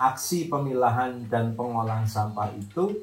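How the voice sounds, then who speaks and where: Audible room echo and noticeable background noise are both present. The man's voice shows ordinary pitch variation. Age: 60s. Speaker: retired teacher and environmental activist. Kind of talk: interview testimony.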